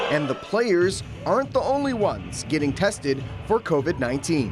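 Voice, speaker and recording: With music in the background, a man speaks in an energetic tone at a high pitch and moderate pace, his voice making very wide pitch swings. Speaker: sports anchor and reporter. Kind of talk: TV sports news reporting. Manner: energetic, broadcast delivery.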